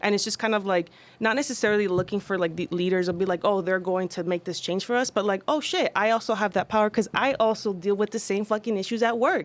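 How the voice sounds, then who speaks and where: Over a silent background in a very clean recording, a woman speaks very fast with a Spanish accent. She takes hardly any pauses, and her pitch varies in an ordinary way. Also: medium pitch for a woman. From United States, child of immigrants. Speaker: labor organizer and social media creator. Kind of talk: casual panel discussion.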